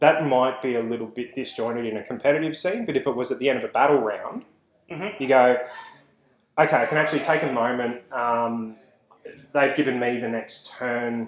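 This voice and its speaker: A man with an Australian accent speaks at a fairly quick pace. His pitch is medium, with ordinary pitch variation. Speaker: podcast host. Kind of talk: casual banter.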